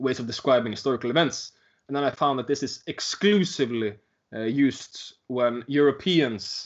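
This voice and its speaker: With a Norwegian accent, a man speaks at a moderate pace. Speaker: teacher. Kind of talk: interview. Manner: halting.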